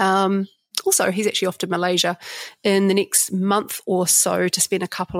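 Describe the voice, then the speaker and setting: Monotone, flat intonation marks this fairly quick speech in a New Zealand accent, captured in a very clean recording with a silent background and a dry, close sound with no echo. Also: woman. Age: 40s. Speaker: leadership trainer. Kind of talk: casual monologue.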